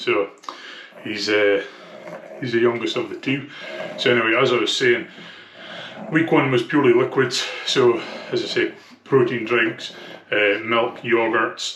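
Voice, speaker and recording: Through noticeable background noise, a man with a strong Scottish accent speaks at a fairly slow pace, pausing long and often. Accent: thick Scottish. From Scotland. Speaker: vlogger documenting weight loss. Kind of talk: casual vlog. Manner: hesitant, many fillers.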